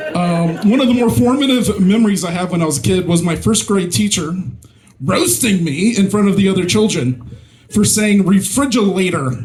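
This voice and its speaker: A man with a high pitch talks at a moderate pace with lively intonation. There is noticeable background noise and audible room echo. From Mississippi, US South. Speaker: stand-up comedian. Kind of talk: stand-up. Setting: stage with audience. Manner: halting, many fillers.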